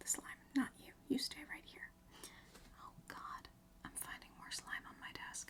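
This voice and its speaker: Someone is whispering. The tone is gentle. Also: woman. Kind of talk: ASMR slime video, soft-spoken talk to camera. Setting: home recording with a storm outside. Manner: soft-spoken, gentle.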